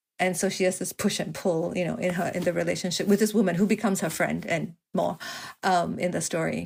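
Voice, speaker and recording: A woman talks with vocal fry. Her pitch variation is ordinary. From Singapore. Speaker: novelist. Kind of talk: interview conversation.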